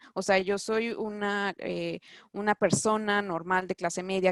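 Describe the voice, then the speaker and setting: A woman speaks at a medium pitch with ordinary pitch variation. The sound is dry and close with no echo, over a quiet background. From Mexico. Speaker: doctor living abroad. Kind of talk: interview. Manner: halting, many fillers and restarts.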